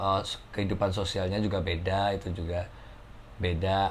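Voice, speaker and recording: This man speaks with a strong Javanese accent in a fairly low register. His intonation stays fairly even. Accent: thick Javanese (medok). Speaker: cafe musician. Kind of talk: casual chat.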